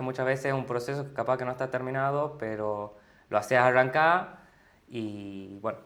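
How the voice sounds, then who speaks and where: This man's voice sits at a medium pitch with ordinary pitch variation. He keeps a moderate pace. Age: 20s. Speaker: business partner at a family internet company. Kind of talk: interview answer.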